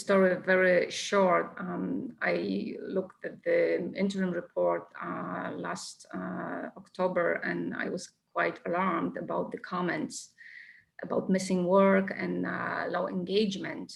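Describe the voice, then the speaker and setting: She has a non-native accent. The woman talks at a very slow pace. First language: not English. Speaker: parent. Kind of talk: Q&A at a parent meeting. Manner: halting.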